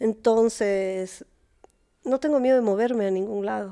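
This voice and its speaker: A woman speaks at a moderate pace in a fairly high pitch with ordinary pitch variation. Her tone is dark and mellow, on a very clean recording with a silent background. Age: 40s. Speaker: therapist. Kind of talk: casual chat.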